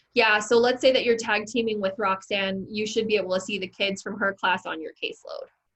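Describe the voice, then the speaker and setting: A woman with an ordinary speaking voice, fairly high in pitch, at a fairly quick pace with hardly any pauses and fairly even intonation. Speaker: ed tech trainer for teachers. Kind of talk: online training session.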